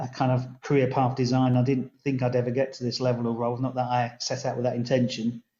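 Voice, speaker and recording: A man speaks in a southern English accent at a medium pitch. His delivery is fairly quick, with monotone, flat intonation. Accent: southern English twang. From southern England (London). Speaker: local government chief executive. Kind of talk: podcast interview.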